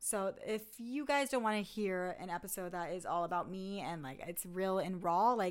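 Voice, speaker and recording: A woman speaks in an animated tone at medium pitch, with ordinary pitch variation. The recording is very clean, with a silent background. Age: 30s. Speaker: podcast host and former reality TV cast member. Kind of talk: casual chat.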